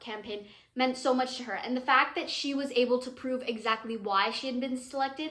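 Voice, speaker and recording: A woman speaks in a high, animated voice with a bright, sharp tone. Her pace is moderate. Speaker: cricket commentator / vlogger. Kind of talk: casual vlog commentary. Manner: animated, self-interrupting.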